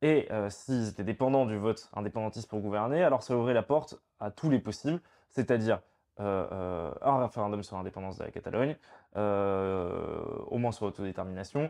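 A man's fairly low, dark, mellow voice with ordinary pitch variation, a moderate pace and a quiet background. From Provence, France (partly raised in Spain). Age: 20s. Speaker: political activist spokesperson. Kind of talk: interview. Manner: hesitant, many fillers and repetitions. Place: home room. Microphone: lapel.

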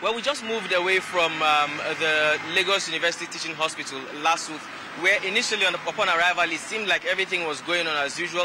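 A man talks very fast with a high pitch and ordinary pitch variation. The sound is dry with no echo, and there is noticeable background noise. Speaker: field correspondent. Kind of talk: news field report. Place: street. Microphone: handheld.

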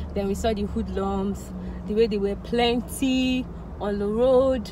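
Over noticeable background noise, a woman speaks at a very slow pace in a dry sound with no echo. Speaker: vlogger. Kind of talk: casual vlog chat, storytelling. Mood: animated, recounting tense events. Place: car. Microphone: phone near.

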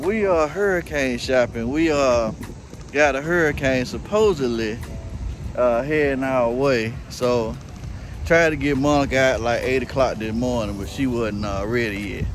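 A man's lively intonation at a fairly slow pace, with noticeable background noise. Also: dry sound with no echo. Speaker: YouTube channel co-host. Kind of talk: casual vlog chat. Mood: cheerful, upbeat. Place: street. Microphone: phone near.

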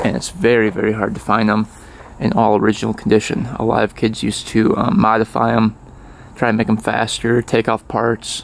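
A man talks at a fairly quick pace in a monotone, flat way. The sound is dry with no echo. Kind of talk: casual vlog chat. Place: open country. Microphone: phone near.

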